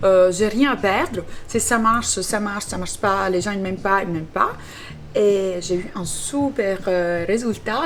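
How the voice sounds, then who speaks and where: A woman with an Italian accent speaks at a medium pitch and a fairly slow pace. Her pitch varies in an ordinary way as music plays in the background. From Italy. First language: Italian (speaking French). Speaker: social media cook. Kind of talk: interview. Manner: talkative, many hesitations; bubbly.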